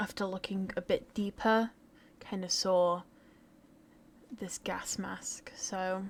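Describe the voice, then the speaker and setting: A woman speaks very slowly, with long, frequent pauses. Her medium pitch stays monotone and flat. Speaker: gaming streamer. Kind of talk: video reaction commentary. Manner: hesitant, filler-heavy.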